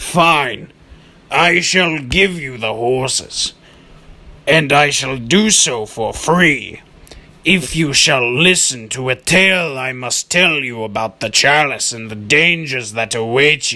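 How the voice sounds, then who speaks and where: A man in a put-on character voice, medium-pitched, with lively intonation at a fairly slow pace. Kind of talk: mock-archaic theatrical. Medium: solo performance. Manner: pompous, grandiose.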